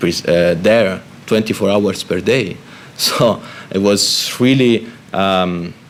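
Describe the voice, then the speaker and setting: A man with an Italian accent at a very slow pace, fairly low in pitch with ordinary pitch variation, over noticeable background noise. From Italy. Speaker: Red Cross spokesperson on migration. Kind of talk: panel discussion. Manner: halting, many fillers and repetitions.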